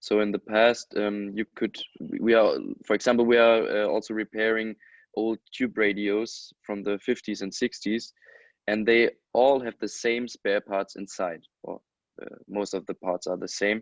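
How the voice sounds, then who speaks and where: A man speaks at a fairly low pitch and moderate pace. His intonation is flat and monotone. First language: not English. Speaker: electronics repairer. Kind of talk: webinar panel discussion. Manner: halting.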